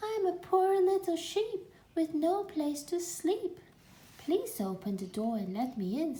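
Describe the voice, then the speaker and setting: A woman puts on a character voice at an extremely high pitch. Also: fairly slow pace. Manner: feigning innocence.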